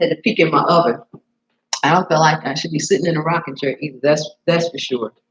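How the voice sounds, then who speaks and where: This woman's voice sits very deep and low and is somewhat breathy. She talks at a very fast pace. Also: ordinary pitch variation. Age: 60s. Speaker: cooking show host, chef. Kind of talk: live stream chat with viewers during cooking demo. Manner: animated.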